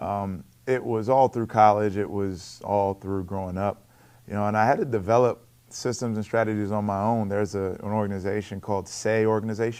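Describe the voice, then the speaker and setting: Here a man speaks with a Baltimore accent. His intonation is fairly even. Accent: Baltimore American English. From Baltimore, US. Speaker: college basketball coach. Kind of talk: interview on coach's show. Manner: repeats words, occasional blocks.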